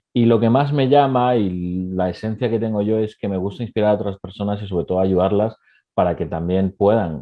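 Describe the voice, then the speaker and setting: A man with an unremarkable speaking voice talks at a fairly quick pace, his fairly low pitch showing ordinary pitch variation. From Ecuador. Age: 20s. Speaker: entrepreneur. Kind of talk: interview.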